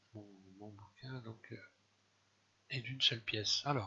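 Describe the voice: A man with a fairly low voice speaks at a slow pace, his husky, rough edge paired with a bright, sharp tone.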